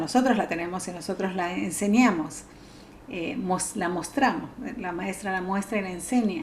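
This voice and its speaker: Against noticeable background noise and audible room echo, a woman at medium pitch speaks at a moderate pace with ordinary pitch variation. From Argentina. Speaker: psychologist. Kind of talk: talk. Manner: halting.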